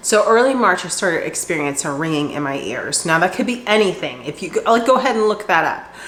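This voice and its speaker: Over noticeable background noise, a woman speaks at a moderate pace in a medium pitch with very wide swings. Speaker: cooking vlogger. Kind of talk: casual vlog talk.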